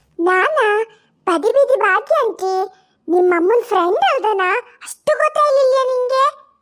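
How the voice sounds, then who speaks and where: An extremely high-pitched woman's cartoonish character voice at very even loudness. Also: fairly slow pace. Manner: nagging, meddlesome.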